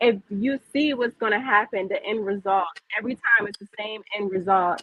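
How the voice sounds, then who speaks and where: An American-accented woman speaks at a moderate pace with a fairly high pitch, ordinary pitch variation and big swings in loudness. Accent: Virginia accent with some New York. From Virginia. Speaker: business owner. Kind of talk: casual interview chat.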